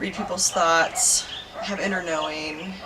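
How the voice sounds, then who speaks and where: With a Californian accent, a woman talks over noticeable background noise, and room echo is audible. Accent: Californian American English. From Southern California (Irvine). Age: 30s. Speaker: psychic healer. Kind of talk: interview testimony.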